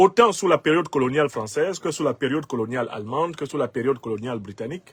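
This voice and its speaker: In a Cameroonian accent, a man speaks at a medium pitch with lively intonation. The sound is dry and close, with no echo. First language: Bassa (speaking French). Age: 50s. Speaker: political commentator. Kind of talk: political commentary monologue.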